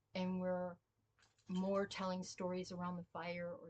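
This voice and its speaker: Her pitch sits fairly low for a woman. The voice is somewhat breathy. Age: 60s. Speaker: spiritual healer and former pastor. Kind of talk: casual spiritual talk. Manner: informal, storytelling.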